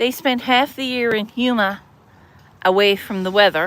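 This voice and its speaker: A woman talks fairly slowly with a fairly high pitch. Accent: Newfoundland. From Newfoundland, St. John's. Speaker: livestreamer. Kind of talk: casual livestream chat. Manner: animated.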